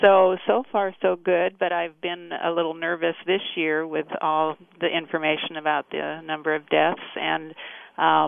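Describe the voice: A woman talks at a fairly slow pace, low-pitched with vocal fry and little pitch movement.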